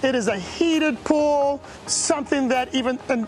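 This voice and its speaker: A high-pitched woman talks in an animated tone. Noticeable background noise sits behind her. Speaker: vacation rental host giving property tour. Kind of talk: video house tour. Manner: loud.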